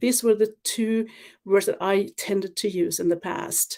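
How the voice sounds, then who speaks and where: At a moderate pace, a woman with a non-native accent speaks at medium pitch with ordinary pitch variation. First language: not English. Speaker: webinar presenter. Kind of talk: livestream presentation. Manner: halting, with filler words.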